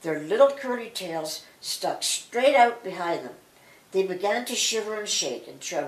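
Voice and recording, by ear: Reading aloud in a natural voice, the speaker keeps the intonation lively.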